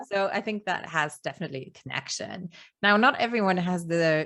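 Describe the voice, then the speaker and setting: A woman speaks with a Luxembourgish accent at a moderate pace. The background is quiet. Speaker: podcast host, business coach. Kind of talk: interview.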